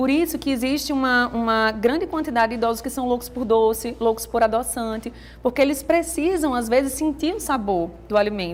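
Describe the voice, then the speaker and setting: A high-pitched woman at a fairly quick pace, with lively intonation and hardly any pauses. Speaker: nutritionist. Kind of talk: TV interview. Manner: talkative.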